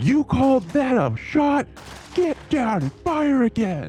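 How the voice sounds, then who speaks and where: A put-on character voice, fairly high-pitched and fairly slow, over clear background noise. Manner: angry, commanding.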